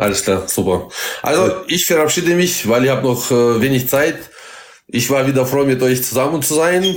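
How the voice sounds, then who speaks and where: A man's medium-pitched voice in a Russian accent, moderately paced, with lively intonation and very even loudness. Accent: Russian-German accent, noticeable. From Kazakhstan. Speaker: bus driver. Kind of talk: casual chat.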